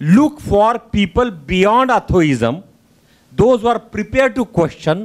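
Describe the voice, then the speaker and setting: A man with a high pitch speaks at a very slow pace, his intonation lively and his loudness very even. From India, Delhi. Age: 60s. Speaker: audience member. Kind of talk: audience question.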